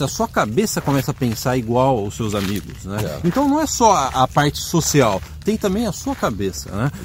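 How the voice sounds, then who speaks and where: Through noticeable background noise, a man at medium pitch speaks at a fairly quick pace with very wide pitch swings. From Brazil. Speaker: immigration advice video host. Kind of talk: casual Q&A video.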